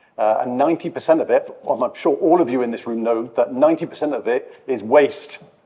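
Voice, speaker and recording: This man talks rather briskly and barely stops, with clear noise behind him. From UK. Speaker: process engineering lead at a bank. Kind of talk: conference panel talk. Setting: conference panel with audience. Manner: hesitant, many fillers and repeats.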